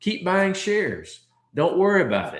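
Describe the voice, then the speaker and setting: A man speaks at a moderate pace. There is audible room echo. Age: 60s. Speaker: stock trading educator. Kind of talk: livestream Q and A tutorial. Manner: casual, conversational with filler words.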